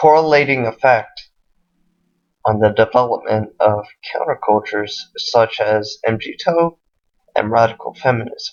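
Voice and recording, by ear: A man's fairly low voice at a slow pace, with ordinary pitch variation.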